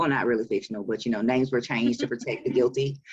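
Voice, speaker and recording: Talking at a very fast pace, a woman with a Southern US accent has a very deep, low pitch. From Alabama, Montgomery. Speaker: author and publisher. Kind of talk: interview.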